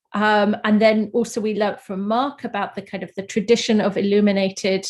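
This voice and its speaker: A London accent, flat monotone delivery, and a quiet background. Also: woman. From London, England. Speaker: artist. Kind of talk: panel presentation. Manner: hesitant, many fillers.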